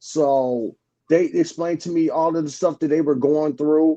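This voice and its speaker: This man speaks at a moderate pace with a dark, mellow tone. His pitch is fairly high. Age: 60s. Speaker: truck driver. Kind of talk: casual chat.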